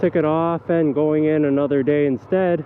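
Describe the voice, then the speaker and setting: A man speaks at a moderate pace. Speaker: motovlogger. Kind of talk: casual vlog monologue while riding. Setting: riding a motorcycle outdoors. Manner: relaxed with frequent fillers.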